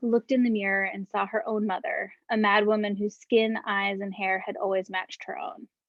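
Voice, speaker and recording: At a moderate pace, a woman with a Northeastern US accent speaks in a fairly high pitch with ordinary variation. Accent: American (Northeast). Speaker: author. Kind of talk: reading aloud.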